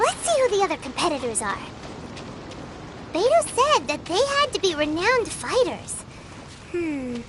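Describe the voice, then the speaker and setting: Against clear background noise, a cartoonish character voice with extremely high pitch talks at a moderate pace. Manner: chatty, teasing.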